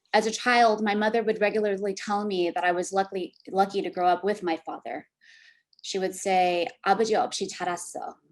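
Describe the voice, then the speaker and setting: A woman speaks at a medium pitch and a fairly quick pace. Her intonation stays fairly even against a quiet background. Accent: Californian. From US, San Francisco Bay Area. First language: Korean. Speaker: academic panelist. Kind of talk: prepared talk read aloud.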